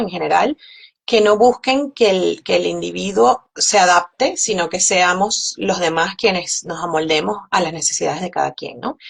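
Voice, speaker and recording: With a strong Caracas accent, a woman speaks at a moderate pace. Her pitch is medium, and there is vocal fry. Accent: strong Caracas Venezuelan. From Venezuela, Caracas. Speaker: physician. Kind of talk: interview. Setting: live stream.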